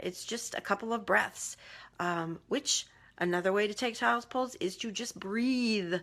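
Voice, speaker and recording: In a very clean recording with a silent background, a woman talks with a normal speaking voice at a fairly high pitch. She goes at a fairly slow pace with ordinary pitch variation. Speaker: life coach. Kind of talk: live video coaching talk. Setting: Facebook Live video.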